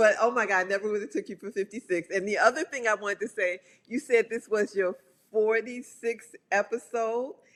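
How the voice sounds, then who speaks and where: A woman speaks at a moderate pace with a fairly high pitch. Her pitch varies in an ordinary way, and it is a normal speaking voice. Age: 60s. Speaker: publicist and pole dancer. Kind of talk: casual chat. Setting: podcast interview.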